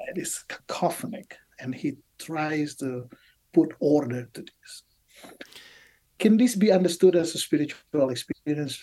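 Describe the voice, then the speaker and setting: A man speaks at a fairly high pitch and a fairly slow pace. His tone is dark and mellow, with big swings in loudness. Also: ordinary pitch variation. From Indonesia. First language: Indonesian. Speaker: biblical scholar, professor. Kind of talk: interview. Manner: halting.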